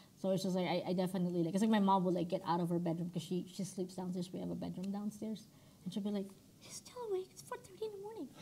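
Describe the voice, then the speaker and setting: There is noticeable background noise behind this woman's medium-pitched voice. She talks at a very fast pace with monotone, flat intonation. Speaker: podcast co-host. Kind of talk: casual chat. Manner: loud.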